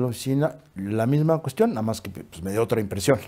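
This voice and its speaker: A man talks at a moderate pace with ordinary pitch variation. His tone is dark and mellow against a quiet background. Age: 80s+. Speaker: acting school director. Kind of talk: interview. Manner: halting. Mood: relaxed anecdotal storytelling. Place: studio. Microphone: lapel.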